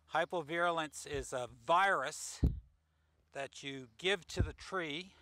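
A man's bright, sharp voice, fairly high in pitch, with ordinary pitch variation.

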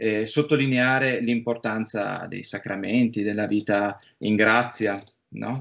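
A man talks very slowly, his intonation fairly even throughout. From Friuli, north-east Italy; Italy. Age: 30s. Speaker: film producer; interviewee. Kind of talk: interview. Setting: remote call. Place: home room. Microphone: video call.

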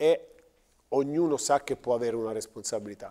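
Against a quiet background, a man with a dark, mellow tone talks at a moderate pace. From Teramo, central Italy; central Italy. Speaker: basketball coach. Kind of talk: TV studio interview. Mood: calm, thoughtful. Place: studio. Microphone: lapel.

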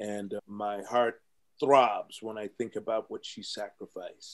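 Over a quiet background, a man with an American accent speaks at a fairly slow pace. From Compton, California. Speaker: entertainment lawyer. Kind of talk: interview, life story. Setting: video call. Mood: heartfelt storytelling. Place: office.

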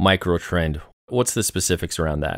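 A man talks in a plain, everyday voice at a fairly quick pace. His pitch variation is ordinary. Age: 30s. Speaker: podcast host. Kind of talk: interview.

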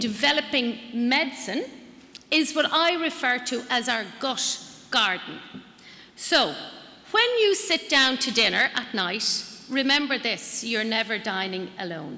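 A woman's high, raised, projected voice in an Irish accent, at a fairly slow pace with very wide pitch swings and long, frequent pauses. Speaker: public health nutritionist. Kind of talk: conference presentation. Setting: stage with audience.

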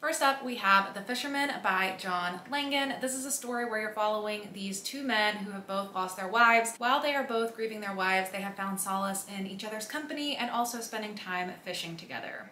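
A woman talks at a fairly quick pace with ordinary pitch variation. Room echo is audible, and there is light background noise. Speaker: book vlogger. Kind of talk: casual vlog chat. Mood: upbeat, enthusiastic. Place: home room.

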